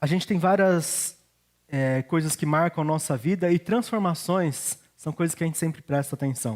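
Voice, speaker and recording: At a moderate pace, a man talks at a fairly high pitch with ordinary pitch variation. The recording is very clean, with a silent background. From Brazil, Curitiba then São Paulo state. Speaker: pastor. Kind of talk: sermon.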